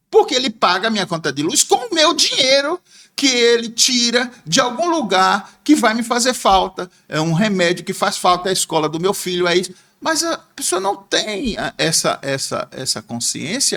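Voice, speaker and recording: A man's high, bright, sharp voice, raised and projected, with very wide pitch swings at a moderate pace. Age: 60s. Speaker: former bank clerk and businessman, political commentator. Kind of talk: podcast interview.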